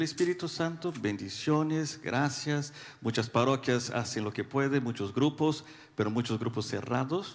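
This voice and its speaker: A man with a Brazilian accent speaks at a moderate pace with ordinary pitch variation. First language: Portuguese (speaking Spanish). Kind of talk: audience question. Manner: halting.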